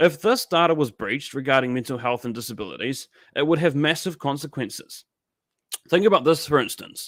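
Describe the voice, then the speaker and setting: With a New Zealand accent, a man with a fairly high pitch talks at a fairly quick pace using lively intonation. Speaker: political livestream host. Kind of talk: live stream commentary with chat reading.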